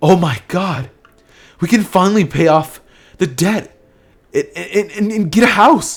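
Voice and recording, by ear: A man's put-on character voice, high-pitched with a slightly husky edge, lively intonation and a fairly slow pace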